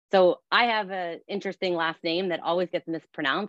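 A woman with an ordinary speaking voice, medium pitch and a fairly quick pace, in a dry, close sound with no echo. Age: 40s. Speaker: fitness studio owner. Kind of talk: webinar panel discussion.

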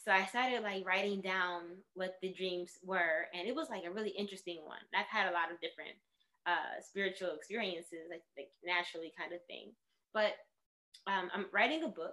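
This woman talks at a fairly quick pace with a New York accent and medium pitch. Her tone is bright and sharp, with ordinary pitch variation. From New York City (Bronx). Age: 30s. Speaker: artist and yoga teacher. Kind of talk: casual chat.

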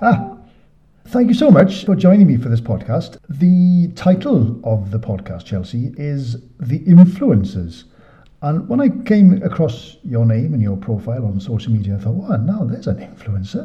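In a British accent, the voice moves at a moderate pace with very wide pitch swings. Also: man, fairly high pitch for a man. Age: 50s. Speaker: podcast host. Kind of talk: interview.

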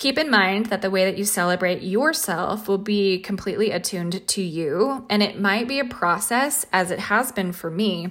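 A woman talks in a plain, everyday voice on a very clean recording with a silent background. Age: 30s. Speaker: podcast host and embodiment coach. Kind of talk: solo spiritual podcast monologue. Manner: warm, reflective.

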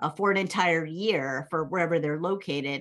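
With an American accent and lively intonation, a woman speaks in a normal speaking voice at a moderate pace against a quiet background. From New England (Massachusetts, Connecticut). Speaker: professor. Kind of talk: interview.

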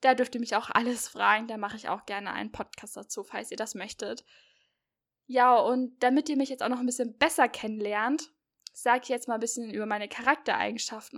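Big swings in loudness come from a woman speaking at a fairly quick pace on a very clean recording with a silent background. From Hesse, near Marburg. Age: 20s. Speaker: podcast host, university student. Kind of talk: casual chat. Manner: animated.

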